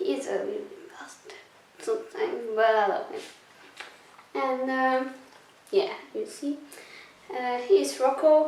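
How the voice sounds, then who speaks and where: Spoken at a fairly slow pace in a Belgian accent, the voice makes very wide pitch swings. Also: woman. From Belgium. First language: not English. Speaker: cleaning vlogger. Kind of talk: casual talk to camera.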